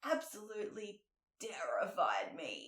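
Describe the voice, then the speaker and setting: A woman speaks at a very slow pace, with audible room echo around her. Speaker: fitness coach and podcast host. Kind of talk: casual podcast monologue. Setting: sitting on a couch recording podcast. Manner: animated.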